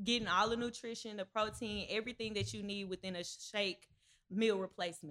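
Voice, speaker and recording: This is an unremarkable speaking voice. Its pitch variation is ordinary. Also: woman. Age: 20s. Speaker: student entrepreneur. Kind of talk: interview.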